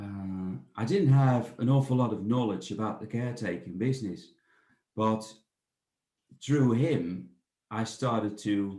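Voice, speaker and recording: Amid audible room echo, a man with a Dutch accent speaks very slowly at a fairly low pitch with ordinary pitch variation. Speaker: bird of prey centre director. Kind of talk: interview. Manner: halting, many fillers and repetitions.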